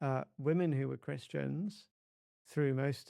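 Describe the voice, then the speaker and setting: A man with an English accent, against a quiet background. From England. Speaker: religion scholar, co-author. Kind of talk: podcast interview. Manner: halting, repeats words.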